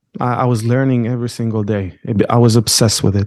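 Against a quiet background, a man speaks at medium pitch and a moderate pace, his tone dark and mellow and his intonation monotone and flat. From Israel, Jaffa. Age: 20s. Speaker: convert to Judaism. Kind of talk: interview.

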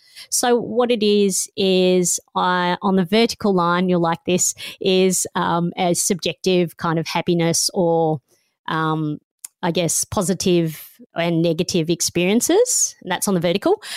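Fairly low in pitch, a woman with an Australian accent speaks in an animated tone at a fairly slow pace, her loudness very even. The sound is dry and close with no echo, on a very clean recording with a silent background. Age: 50s. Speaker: radio host and author. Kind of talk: interview conversation. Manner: animated, laughs often.

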